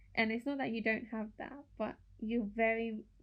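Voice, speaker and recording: A woman's fairly high voice at a fairly slow pace. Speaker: podcast co-host. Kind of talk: casual chat. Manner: loud.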